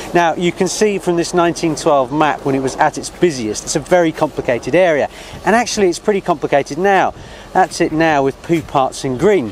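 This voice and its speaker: At a fairly quick pace and with ordinary pitch variation, a man speaks in a dry sound with no echo over light background noise. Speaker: presenter. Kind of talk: presenter piece to camera. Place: street. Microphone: lapel.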